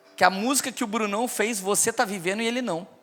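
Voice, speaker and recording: A man with a high voice for a man talks at a fairly quick pace in an animated tone, with music playing in the background. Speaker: preacher. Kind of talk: sermon.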